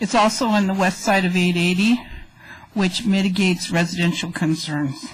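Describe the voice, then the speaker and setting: Against noticeable background noise, a woman talks at a moderate pace with very even loudness. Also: medium pitch for a woman, ordinary pitch variation. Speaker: resident speaking at council meeting. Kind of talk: public comment at council meeting. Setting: council chamber.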